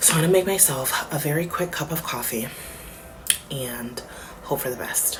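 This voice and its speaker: With an American accent and lively intonation, the speaker is heard with audible room echo and noticeable background noise. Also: woman. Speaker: family vlogger. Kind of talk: casual vlog talk. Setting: car. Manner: animated.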